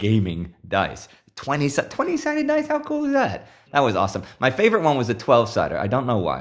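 Speaking at a fairly quick pace, a man with an American accent uses a plain, everyday voice and ordinary pitch variation. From Texas, Houston. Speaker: gamer. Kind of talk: interview.

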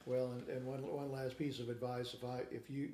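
A man with an American accent speaks at a fairly quick pace and medium pitch. His tone is dark and mellow, with audible room echo. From Kansas City, Kansas. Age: 50s. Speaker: guitarist and guitar teacher. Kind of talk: casual interview. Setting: in person interview.

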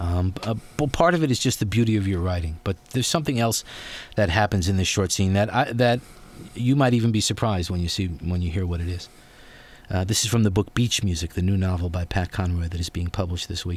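A man with a very deep, low voice speaks at a very fast pace, somewhat breathy, with ordinary pitch variation. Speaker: radio host. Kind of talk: radio interview. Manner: enthusiastic, animated.

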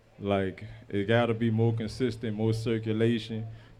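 The speaker here is a man. Monotone, flat intonation marks his delivery. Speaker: community organizer.

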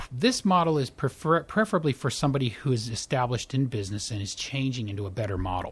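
A man speaks at a fairly quick pace in a medium pitch, somewhat breathy and with lively intonation. The recording is very clean, with a silent background. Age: 50s. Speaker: primary care physician. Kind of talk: interview.

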